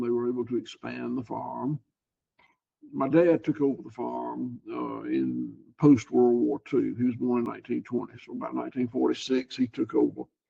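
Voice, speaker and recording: Moderate pace, with a Southern US accent. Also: man. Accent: Southern US (Georgia). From US South, Georgia. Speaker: cattle farmer. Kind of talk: interview. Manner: halting, repeats words.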